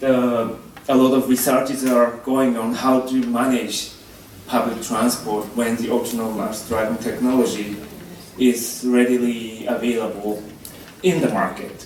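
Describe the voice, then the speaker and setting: Talking at a fairly slow pace in a monotone, flat intonation, a man with a medium-pitched voice is heard over noticeable background noise and audible room echo. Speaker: lecturer at research center. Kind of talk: lecture. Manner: hesitant, many fillers.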